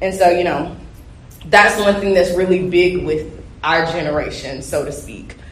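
The speaker keeps a moderate pace and ordinary pitch variation against noticeable background noise. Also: woman. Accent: Southern US. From US South. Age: young. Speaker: young flooring worker. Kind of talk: panel discussion. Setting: live convention panel with audience.

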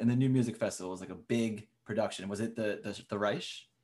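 A man speaks at a medium pitch with ordinary pitch variation in a plain, everyday voice, captured in a very clean recording with a silent background. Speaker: podcast host, composer. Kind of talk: casual interview chat.

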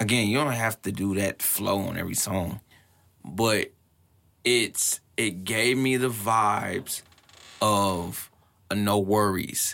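Speaking very slowly with long, frequent pauses, a man with an American accent has a fairly low pitch and a bright, sharp tone. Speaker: podcast interviewer. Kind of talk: casual chat. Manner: profane, animated, casual.

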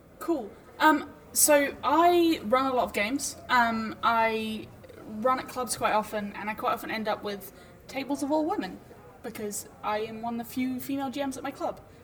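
A woman with a high pitch speaks at a moderate pace with ordinary pitch variation. There is noticeable background noise. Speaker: charity co-founder and podcaster. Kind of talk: panel discussion.

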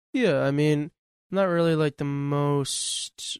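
Captured in a very clean recording with a silent background and a dry, close sound free of echo, a man uses an unremarkable speaking voice at a fairly high pitch with ordinary pitch variation. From Western New York, North Tonawanda area. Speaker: local theater actor. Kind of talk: casual chat.

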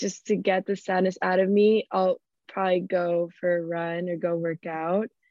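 Speaking at a fairly slow pace, a woman talks in a Miami accent. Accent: Miami American English. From US South, Miami. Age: 20s. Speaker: event planner. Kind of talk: casual interview.

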